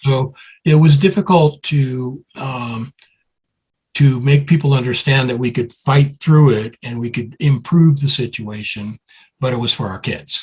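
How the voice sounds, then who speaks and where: Somewhat breathy and fairly slow, the speech shows ordinary pitch variation. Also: man, medium pitch for a man. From US Northeast, Brooklyn, New York. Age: 70s. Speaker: music promoter and songwriter. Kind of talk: interview.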